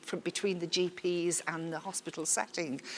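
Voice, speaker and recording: In a Liverpool accent, a woman speaks at a fairly slow pace with a fairly low pitch. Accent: Scouse. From Liverpool, England. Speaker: workshop facilitator. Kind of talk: workshop facilitation. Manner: informal, chatty.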